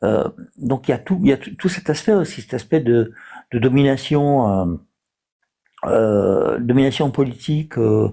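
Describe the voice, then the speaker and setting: The voice has a dark, mellow tone and lively intonation, moving at a fairly slow pace with long, frequent pauses. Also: man, medium pitch for a man. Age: 60s. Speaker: live stream participant. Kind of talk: debate. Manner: halting, many hesitations.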